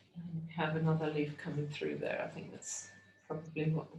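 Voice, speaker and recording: A woman's very deep, low voice at a moderate pace, with audible room echo. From England. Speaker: art teacher. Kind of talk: tutorial. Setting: video call.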